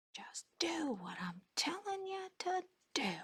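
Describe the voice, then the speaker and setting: In a put-on character voice, the speaker talks at a fairly slow pace and a high pitch. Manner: commanding, demonic.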